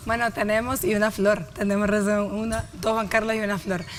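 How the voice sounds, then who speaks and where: A woman speaks at a moderate pace in a fairly high voice, with noticeable background noise. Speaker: TV health show host. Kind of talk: TV show hosting.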